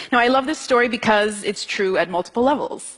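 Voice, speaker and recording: A woman speaks with an American accent and ordinary pitch variation. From United States, Ethiopian family. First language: Amharic. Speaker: singer-songwriter. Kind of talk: talk to an audience.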